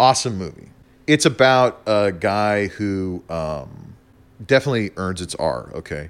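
A man with an American accent, fairly low in pitch and fairly slow in pace, with very wide pitch swings and big swings in loudness, on a very clean recording with a silent background. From US Southwest, New Mexico. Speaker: podcast guest. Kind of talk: casual chat.

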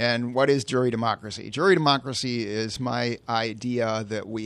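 A man with an American accent speaks in a plain, everyday voice at medium pitch with ordinary pitch variation. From Chicago suburbs, Illinois. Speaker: political candidate. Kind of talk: interview. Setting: studio.

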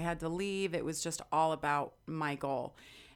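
A woman with a fairly low pitch and fairly even intonation uses an ordinary speaking voice. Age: 40s. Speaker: sports reporter. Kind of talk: interview. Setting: studio.

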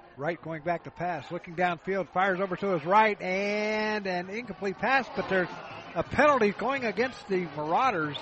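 At a moderate pace, a man talks in a high pitch amid noticeable background noise. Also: ordinary pitch variation. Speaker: college football play-by-play announcer. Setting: stadium broadcast booth. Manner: brisk, rhythmic play calling, ramps up on big plays; casual, conversational, with frequent uh fillers and self-corrections.

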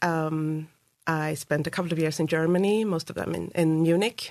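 A woman's fairly low-pitched voice in a Swedish accent, with fairly even intonation over a quiet background. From Sweden, Uppsala. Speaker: school board candidate. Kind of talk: interview. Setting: studio.

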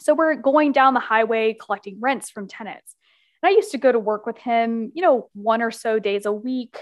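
With an American accent, a woman with a fairly high pitch speaks at a moderate pace in an ordinary speaking voice, her pitch varying in an ordinary way and her loudness swinging widely. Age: 20s. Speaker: business consultant and author. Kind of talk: podcast interview.

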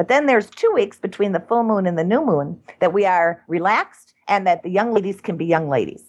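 A woman speaks at a medium pitch with ordinary pitch variation, talking at a fairly quick pace with hardly any pauses in an unremarkable speaking voice. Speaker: cannabis nun and activist founder. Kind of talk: interview.

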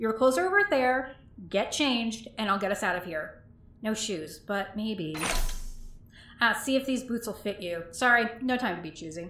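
With lively intonation and a fairly high pitch, a woman speaks at a moderate pace against noticeable background noise. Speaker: voice actor playing characters. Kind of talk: acted audio drama dialogue.

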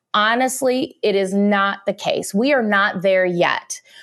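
Medium-pitched woman's voice with a Midwestern US accent and fairly even intonation, in a very clean recording with a silent background. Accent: US Midwest. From rural Illinois, US Midwest. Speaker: chemical technology executive. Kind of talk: interview.

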